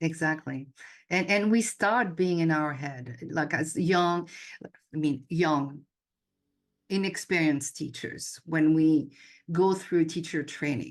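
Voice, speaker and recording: In a French accent, a woman speaks very slowly at a very deep, low pitch with ordinary pitch variation. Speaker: yoga instructor and intuitive coach. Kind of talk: casual chat.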